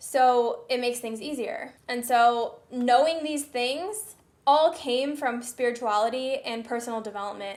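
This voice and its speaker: Speaking at a fairly slow pace with hardly any pauses, a woman with an American accent has a high pitch and ordinary pitch variation. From Southern California. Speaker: personal development vlogger. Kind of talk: casual vlog monologue. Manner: casual, filler-heavy.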